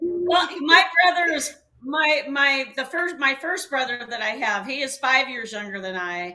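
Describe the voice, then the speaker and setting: With a bright, sharp tone and very wide pitch swings, a woman speaks at a fairly slow pace. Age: 60s. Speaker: co-host, wife of the show's host. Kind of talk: casual chat. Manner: halting.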